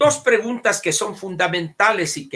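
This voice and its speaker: A man speaks in a raised, projected voice with a bright, sharp tone. His pitch swings very widely. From Sonora, Mexico. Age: 70s. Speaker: political commentator. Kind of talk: casual chat.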